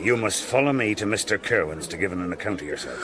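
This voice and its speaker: Over loud background noise, a man uses a put-on character voice, gruff and fairly low in pitch, rattling off his words at a very fast pace. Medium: audio drama. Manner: gruff, curt.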